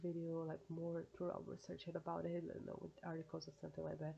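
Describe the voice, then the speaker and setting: A woman with a Brazilian accent talks at a fairly quick pace in a fairly low pitch, her dark, mellow tone marked by vocal fry. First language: Portuguese. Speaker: YouTuber. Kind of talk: casual reaction vlog. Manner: halting, hesitant.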